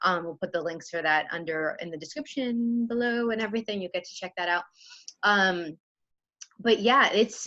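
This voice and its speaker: A woman at medium pitch speaks at a moderate pace in an animated, bright, sharp tone with lively intonation. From Chicago, US Midwest. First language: Spanish. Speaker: podcast host. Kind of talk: casual interview chat.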